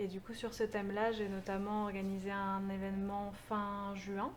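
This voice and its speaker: A woman speaks at a medium pitch. Room echo is audible, and background noise is noticeable. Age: 20s. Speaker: community organizer. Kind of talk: interview.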